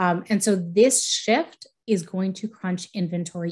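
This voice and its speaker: A woman's somewhat breathy, fairly low voice. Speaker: real estate economist, researcher. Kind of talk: presentation with slides. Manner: fast.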